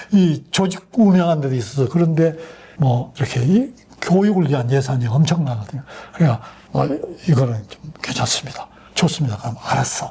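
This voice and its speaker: The speaker keeps a moderate pace and lively intonation against noticeable background noise. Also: man, fairly high pitch for a man. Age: 80s+. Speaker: retired army general. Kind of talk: interview answer.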